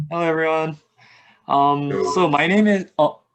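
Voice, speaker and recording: In a Korean accent, a man speaks at a fairly slow pace. His intonation is lively, and the background is quiet. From South Korea (Seoul), childhood partly in Egypt and Dubai. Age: 20s. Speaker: mobile app designer. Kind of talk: casual interview chat.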